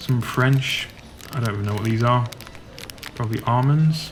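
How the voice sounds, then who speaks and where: A man with a Yorkshire accent speaks in a relaxed tone at medium pitch and a moderate pace, with fairly even intonation. Noticeable background noise and audible room echo fill the recording. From Yorkshire, northern England. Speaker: travel vlogger. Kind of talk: guided walking tour vlog. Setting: inside a supermarket. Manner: casual, relaxed.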